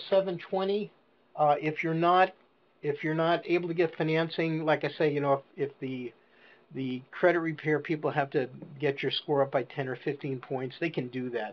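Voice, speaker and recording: A man talks at a fairly high pitch. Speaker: seminar presenter, franchise sales. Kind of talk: business seminar Q&A on a conference call. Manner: fast; soft-spoken.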